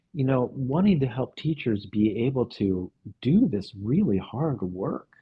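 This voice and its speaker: A man talks at a medium pitch with lively intonation. His voice is somewhat breathy. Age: 60s. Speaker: music teacher and psychoanalyst. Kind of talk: podcast interview conversation. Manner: halting, with repetitions and fillers.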